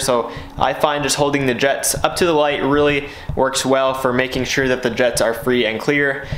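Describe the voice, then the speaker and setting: A man speaks in a monotone with flat intonation. Light background noise and audible room echo surround his voice. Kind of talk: tutorial. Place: garage. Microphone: phone near.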